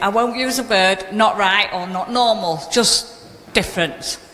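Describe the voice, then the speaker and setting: A woman's fairly high, lively voice amid noticeable background noise and audible room echo. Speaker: audience member. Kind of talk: public question. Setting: public hall with audience. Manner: loud.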